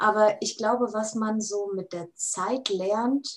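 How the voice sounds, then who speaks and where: A woman's fairly high voice at a very slow pace, with fairly even intonation. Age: 20s. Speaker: food technologist and startup founder. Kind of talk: casual interview.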